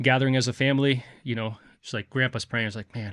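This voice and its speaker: Fairly quick male speech over a quiet background. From Brazil, Rio de Janeiro. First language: Portuguese. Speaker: firefighter and author. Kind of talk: podcast interview.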